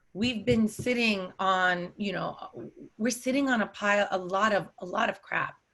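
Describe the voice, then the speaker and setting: A woman speaks at a moderate pace in an Arabic accent, her medium-pitched voice bright and sharp in tone with fairly even intonation. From United States, Palestinian family. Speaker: scholar, human rights attorney and activist. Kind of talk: interview.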